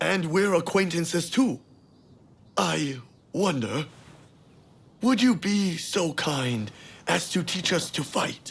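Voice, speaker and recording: Using a put-on character voice, a man talks fairly slowly with lively intonation, a high pitch, and long, frequent pauses. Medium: video game.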